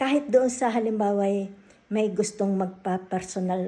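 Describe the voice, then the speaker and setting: A woman's voice with a dark, mellow tone. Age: 60s. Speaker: tarot reader. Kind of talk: casual vlog announcement.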